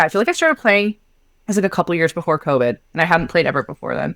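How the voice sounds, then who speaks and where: With a Canadian accent, a woman at medium pitch sounds animated, her intonation lively and the sound dry and close with no echo. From Canada. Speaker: podcast co-host. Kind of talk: casual chat.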